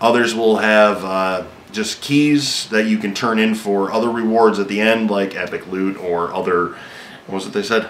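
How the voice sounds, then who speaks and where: Against audible room echo, a man speaks in a fairly low voice with fairly even intonation. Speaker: gaming video host. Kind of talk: casual game news rundown. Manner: fast; hesitant, many fillers.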